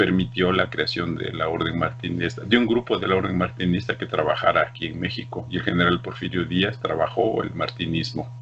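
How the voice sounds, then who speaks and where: Over noticeable background noise, the speech moves at a fairly quick pace with very wide pitch swings and hardly any pauses. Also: man, very deep, low pitch for a man. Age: 60s. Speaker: esoteric order leader. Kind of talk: interview.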